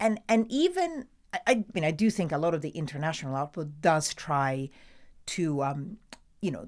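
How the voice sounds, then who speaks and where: A woman with an Italian accent speaks at a moderate pace, her pitch fairly low and her intonation lively. The recording is very clean, with a silent background. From Italy. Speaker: TV news presenter. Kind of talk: interview answer.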